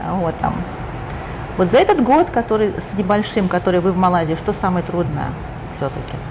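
A woman with ordinary pitch variation, over noticeable background noise. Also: medium pitch for a woman, moderate pace. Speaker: interviewer. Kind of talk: interview. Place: bar.

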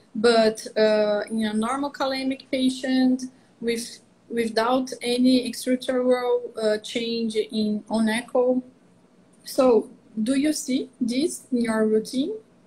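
A woman's high-pitched voice at a very slow pace with fairly even intonation. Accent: Portuguese. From Brazil. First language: Portuguese. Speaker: veterinary cardiologist. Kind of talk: interview. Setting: video call. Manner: halting. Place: home room. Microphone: video call.

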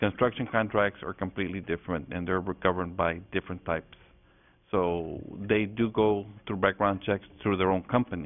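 The man's pitch sits very deep and low. He keeps a moderate pace. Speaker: school superintendent. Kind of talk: formal board meeting presentation. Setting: public meeting room.

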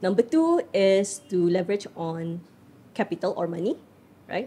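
A woman's dark, mellow tone at a moderate pace, with ordinary pitch variation. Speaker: podcast guest. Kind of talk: interview answer. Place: studio. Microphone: studio mic.

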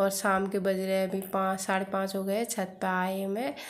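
This woman has a medium-pitched voice. She talks at a moderate pace. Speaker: family vlogger. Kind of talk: casual vlog narration. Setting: outdoors on rooftop; at home, kitchen. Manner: quiet voice.

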